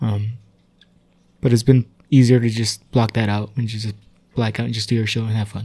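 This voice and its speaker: A man talks in a flat monotone, somewhat breathy, with a dark, mellow tone. He leaves long, frequent pauses. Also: medium pitch for a man, moderate pace. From Tijuana and San Diego area, Mexico/US border. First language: Spanish. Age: 30s. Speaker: improviser and theater worker. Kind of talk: casual interview chat.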